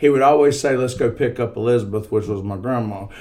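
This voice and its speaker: A man's animated, very fast delivery over noticeable background noise. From Staunton Bridge. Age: 40s. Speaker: podcast guest. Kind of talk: casual chat.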